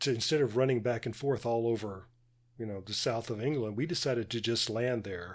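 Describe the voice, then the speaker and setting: In a very clean recording with a silent background, a man with an American accent uses a normal speaking voice at a medium pitch, speaking at a moderate pace with ordinary pitch variation. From United States. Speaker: podcast co-host.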